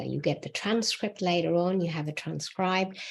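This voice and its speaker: Fairly even intonation from a woman, pitched fairly low. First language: not English. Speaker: book writing mentor. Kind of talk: solo video talk.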